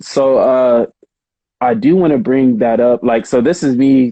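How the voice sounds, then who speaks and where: Recorded dry and close with no echo, a man with a dark, mellow tone and ordinary pitch variation speaks at a very slow pace. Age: 30s. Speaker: krump dancer. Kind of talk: casual interview chat.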